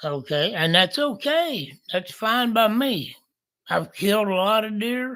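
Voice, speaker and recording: Bright and sharp in tone, this raised, projected voice moves with lively intonation. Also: man, high pitch for a man. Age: 60s. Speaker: bow hunter and channel host. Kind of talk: casual talk to camera. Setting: indoors under overhead light. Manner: halting, many fillers and repeats.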